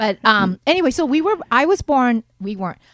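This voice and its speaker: At a moderate pace, a woman speaks at a high pitch with very wide pitch swings, the sound dry and close with no echo. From Japan and US (Seattle, Maryland). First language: Japanese. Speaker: musician and comedian. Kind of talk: casual chat.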